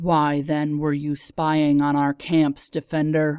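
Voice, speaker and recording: In a put-on character voice of low-to-middle pitch, the speaker delivers lines at a fairly slow pace with monotone, flat intonation, on a very clean recording with a silent background. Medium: read story. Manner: cold, accusing.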